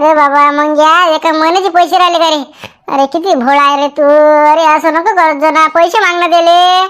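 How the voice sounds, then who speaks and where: A cartoonish character voice pitched high. It moves at a moderate pace. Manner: insistent.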